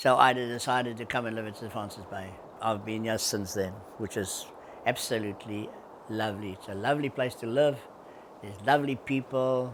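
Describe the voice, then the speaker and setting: At a fairly quick pace, a man with a South African accent talks at medium pitch, his loudness swinging widely. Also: fairly even intonation. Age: 80s+. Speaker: surf industry veteran. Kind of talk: interview answer.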